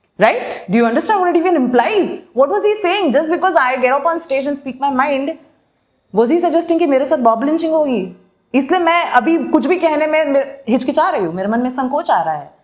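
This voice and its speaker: An animated, high-pitched woman's voice with lively intonation. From Bengal, eastern India. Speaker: podcast host and dentist. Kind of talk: casual talk show discussion, Hindi-English mix.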